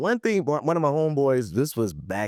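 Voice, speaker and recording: A man with an American accent, fairly high in pitch, at a moderate pace, in a dry, close sound with no echo. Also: very clean recording, silent background. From US South, Charleston, South Carolina. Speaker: podcast host. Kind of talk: casual chat.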